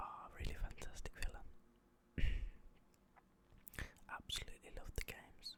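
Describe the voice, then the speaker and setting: A man whispers at a moderate pace. His tone is relaxed. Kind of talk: ASMR whisper ramble. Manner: whispered, quiet, relaxed.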